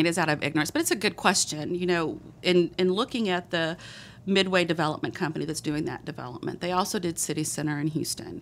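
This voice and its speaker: Speaking at a very fast pace, a woman has a strong Texas accent and a fairly low pitch. The recording is very clean, with a silent background. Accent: thick Texas. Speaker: city economic development director. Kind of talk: casual chat. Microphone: mic too close to her face.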